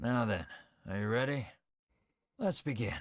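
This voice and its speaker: A man puts on a raspy character voice at a medium pitch and a moderate pace. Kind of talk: fantasy storybook narration. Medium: video game. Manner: courtly, measured.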